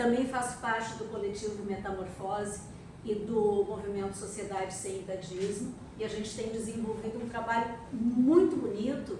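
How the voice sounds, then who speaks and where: In a room with audible echo, a woman with a fairly high pitch speaks at a moderate pace and with fairly even intonation. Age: 60s. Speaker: architect and activist. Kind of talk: panel talk at an event.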